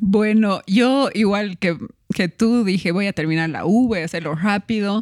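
In a normal speaking voice, a woman talks at a fairly slow pace and medium pitch, recorded very cleanly against a silent background with a dry, close sound and no echo. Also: ordinary pitch variation. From Bolivia (La Paz, raised in Cochabamba). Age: 30s. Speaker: food entrepreneur and food blogger. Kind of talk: casual interview.

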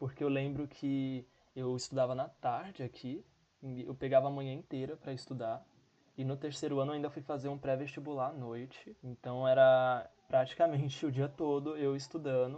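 A man speaks with a dark, mellow tone at a fairly high pitch. His intonation stays fairly even. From São Paulo, Brazil. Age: 20s. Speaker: podcast co-host, physics graduate. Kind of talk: casual chat.

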